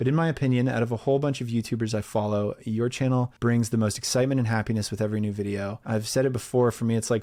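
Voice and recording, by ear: Someone is reading aloud in a natural voice. The words come one after another.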